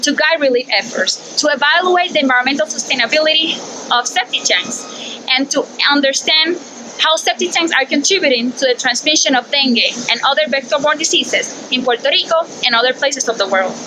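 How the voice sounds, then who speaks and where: Against noticeable background noise, a woman projects a raised voice at a high pitch, keeping very even loudness and ordinary pitch variation at a fairly quick pace. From Puerto Rico. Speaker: PhD student researcher. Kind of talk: science communication narration.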